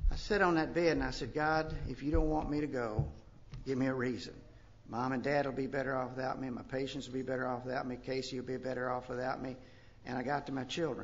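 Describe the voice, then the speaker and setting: A man with a Kentucky accent speaks at a medium pitch and a very fast pace, with vocal fry and ordinary pitch variation. Room echo is audible. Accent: Southern US (Kentucky). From US South, western Kentucky. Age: 60s. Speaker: recovery speaker, retired doctor. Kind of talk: recovery testimony.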